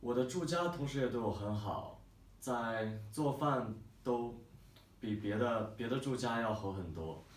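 A man's medium-pitched voice with ordinary pitch variation and audible room echo. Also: fairly slow pace. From Beijing, China. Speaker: language school student. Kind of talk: testimonial talk to camera. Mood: calm, positive. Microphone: camera far.

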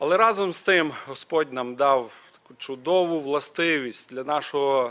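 A man talks in a normal speaking voice at a fairly slow pace. His pitch shows ordinary variation. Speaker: preacher. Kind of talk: sermon. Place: church. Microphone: podium.

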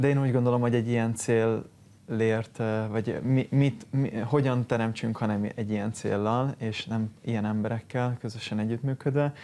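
A man speaks at a moderate pace in a dark, mellow tone. His intonation is flat and monotone. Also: medium pitch for a man. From Hungary. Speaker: sports charity foundation head, former water polo player; TV guest. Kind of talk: morning TV studio interview. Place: studio. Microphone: lapel.

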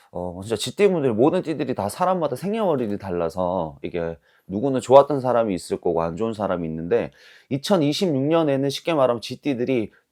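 On a very clean recording with a silent background, a man uses an ordinary speaking voice at medium pitch and a moderate pace. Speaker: fortune teller. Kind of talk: fortune-telling consultation. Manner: formal, explanatory.

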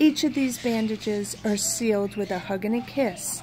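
Over noticeable background noise, a woman talks fairly slowly in a fairly high voice with ordinary pitch variation. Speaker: video creator reading fan mail. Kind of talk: reading aloud a sweet get-well poem from a fan card.

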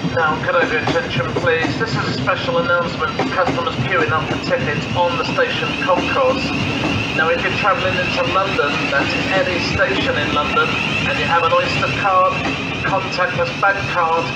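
At a moderate pace, a man speaks over loud background noise. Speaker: station announcer. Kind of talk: public address announcement. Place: station.

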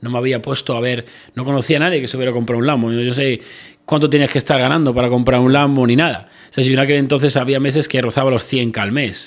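A man's medium-pitched voice at a very fast pace with fairly even intonation. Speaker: entrepreneur. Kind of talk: interview chat.

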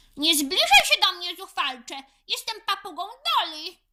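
In a put-on character voice, a woman sounds shrill at an extremely high pitch. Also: moderate pace. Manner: contemptuous, squawking.

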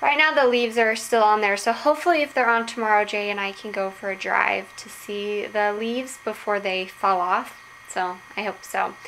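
Light background noise runs behind a woman speaking with hardly any pauses. Her pitch varies in an ordinary way. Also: moderate pace. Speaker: vlogger. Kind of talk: casual vlog chat. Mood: cheerful, relaxed. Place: home room. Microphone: phone near.

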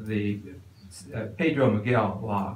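A man's somewhat breathy voice with fairly even intonation, amid audible room echo and light background noise. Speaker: resident lecturer. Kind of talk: lecture. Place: hall.

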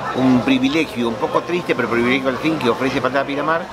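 A man talks at a very fast pace. Crowd noise fills the background. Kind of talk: interview answer. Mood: thoughtful, earnest.

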